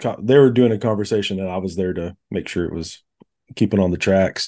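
In an American accent, a man talks at a moderate pace with a fairly low pitch and fairly even intonation. His tone is dark and mellow, and the background is quiet. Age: 30s. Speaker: music journalist, podcast host. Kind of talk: casual chat. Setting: video call.

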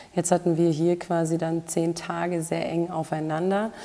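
At a fairly slow pace, a woman speaks with a fairly low pitch, a dark, mellow tone and monotone, flat intonation. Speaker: health and performance coach, podcast host. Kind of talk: solo podcast monologue.

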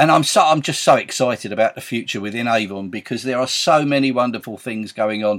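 A man's medium-pitched voice, enthusiastic in tone, with lively intonation and a fairly quick pace. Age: 60s. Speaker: Avon sales team leader and podcaster. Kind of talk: sales pitch. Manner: enthusiastic, chatty.

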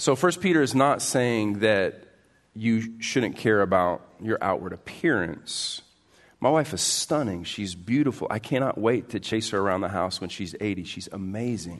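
A man with medium pitch and a plain, everyday voice speaks at a moderate pace with lively intonation. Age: 40s. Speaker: pastor. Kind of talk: sermon. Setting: church.

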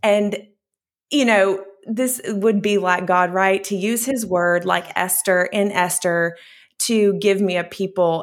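A woman with an American accent, an ordinary speaking voice, medium pitch and fairly even intonation, on a very clean recording with a silent background. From US small towns. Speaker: ministry founder and author. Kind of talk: interview testimony.

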